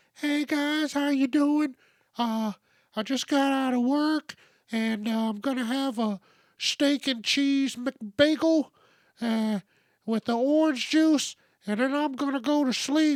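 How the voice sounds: In a very clean recording with a silent background, a female-sounding voice does a put-on character voice at a high pitch and a fairly slow pace.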